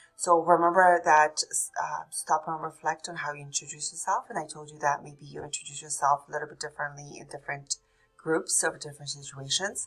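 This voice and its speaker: Over music in the background, a woman with a very deep, low pitch talks at a fairly quick pace, her intonation fairly even but her loudness swinging widely. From Poland. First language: Polish. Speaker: nursing instructor. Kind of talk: recorded lecture. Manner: hesitant, with fillers.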